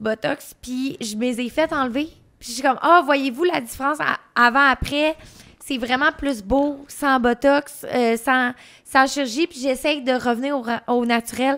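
A woman speaks at a high pitch and a fairly slow pace, with fairly even intonation. The background is quiet. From Quebec. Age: 20s. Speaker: adult content creator. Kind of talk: casual chat. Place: studio. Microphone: studio mic.

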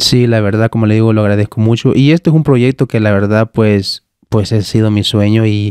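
Fairly quick speech with fairly even intonation and very even loudness comes through a dry sound with no echo and a quiet background. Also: man, fairly low pitch for a man. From El Salvador, Cabañas; El Salvador. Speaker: podcast host, tech content creator. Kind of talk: casual interview chat. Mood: warm, grateful, relaxed. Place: studio. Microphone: studio mic.

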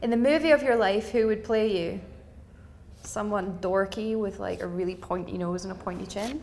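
A Glaswegian accent with ordinary pitch variation over light background noise. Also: woman, medium pitch for a woman. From Scotland, Glasgow. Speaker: actor; actor interviewee. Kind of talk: quick-fire interview answers. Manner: hesitant with fillers. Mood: light, playful. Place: empty room. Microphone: lapel.

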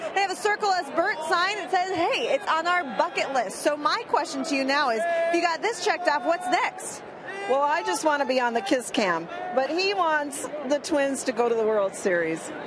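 Pitch swings very widely throughout. The sound is dry with no echo, and background noise is noticeable. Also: woman, high pitch for a woman, moderate pace. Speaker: in-game field reporter. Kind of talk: sideline reporting. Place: stadium. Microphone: handheld.

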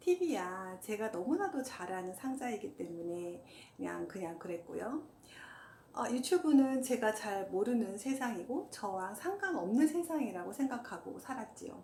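Over noticeable background noise, a woman speaks at a fairly slow pace. Her fairly high voice makes very wide pitch swings. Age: 50s. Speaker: hiker, walking enthusiast. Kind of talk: casual talk to camera.

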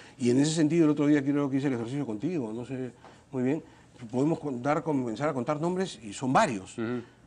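At a very fast pace, a man speaks in a fairly high pitch with ordinary pitch variation. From Peru. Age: 50s. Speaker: congressman; politician interview guest. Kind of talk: TV interview. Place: studio. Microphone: lapel.

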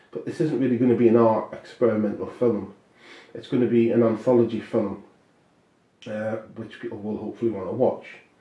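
The voice moves at a fairly quick pace in a flat monotone, its loudness swinging widely. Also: man, medium pitch for a man. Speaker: filmmaker and author. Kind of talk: casual monologue about a film project. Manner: rambling, halting, with many fillers.

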